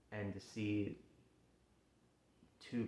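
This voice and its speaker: Speaking at a very slow pace, a man with a fairly low pitch delivers his words in a monotone, flat intonation. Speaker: backyard wrestler. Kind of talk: personal promo speech to camera. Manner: halting, emotional, hesitant.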